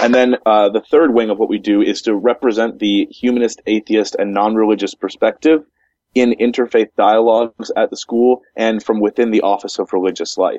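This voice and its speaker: Recorded with a dry, close sound and no echo, a man with an American accent talks at a moderate pace in a dark, mellow tone, his pitch medium and his intonation fairly even. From United States. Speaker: humanist chaplain and author. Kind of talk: interview. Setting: remote call.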